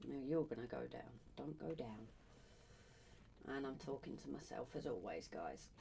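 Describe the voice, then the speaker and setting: A woman talks at a moderate pace. Her voice is soft-spoken. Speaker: livestreaming artist. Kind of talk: casual livestream chat while drawing. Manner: soft-spoken, talking quietly. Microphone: came across quiet on stream.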